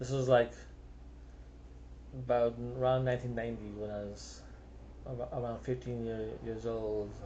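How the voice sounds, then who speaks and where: Speaking at a moderate pace with long, frequent pauses, a man with a slight South African accent is heard with audible room echo. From South Africa, Cape Town. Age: 50s. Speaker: singer-songwriter. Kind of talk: casual monologue. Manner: unscripted, rambling with hesitations.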